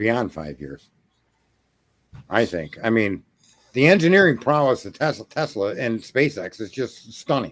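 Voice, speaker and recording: This man talks at a fairly slow pace and a medium pitch, with vocal fry, very wide pitch swings, big swings in loudness and long, frequent pauses. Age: 60s. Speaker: retired business owner. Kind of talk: casual chat.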